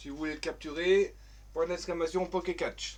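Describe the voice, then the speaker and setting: A man with a strong Vosges accent and a high pitch. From France, Vosges. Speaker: gaming streamer. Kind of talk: live stream gameplay chat. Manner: hesitant, many fillers.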